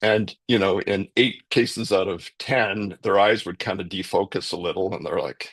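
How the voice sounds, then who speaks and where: In a Canadian accent, a man uses an ordinary speaking voice at a fairly low pitch and moderate pace, with a dry, close sound, no echo and a quiet background. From Canada. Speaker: professor of leadership. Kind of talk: interview answer. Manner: conversational, uses many fillers.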